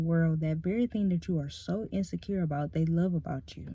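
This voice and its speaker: Soft-spoken and somewhat breathy, a woman mumbles at a fairly quick pace in a dark, mellow tone. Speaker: ASMR creator. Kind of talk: casual chat. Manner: medium volume, not whispering; naturally soft-spoken, mumbles.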